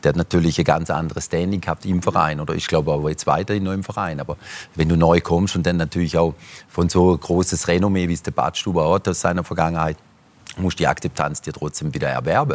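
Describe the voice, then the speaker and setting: A man's very deep, low voice at a very fast pace, with fairly even intonation. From German-Swiss border region. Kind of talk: talk show discussion.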